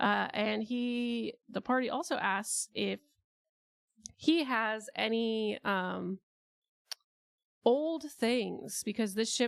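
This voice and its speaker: A quiet, fairly high-pitched woman at a very slow pace, with ordinary pitch variation and long, frequent pauses. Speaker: streamer. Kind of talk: casual livestream storytelling. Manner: quiet, chill.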